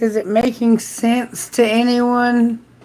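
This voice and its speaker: Fairly high female speech against noticeable background noise. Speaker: tarot reader. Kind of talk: live tarot reading. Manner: slow.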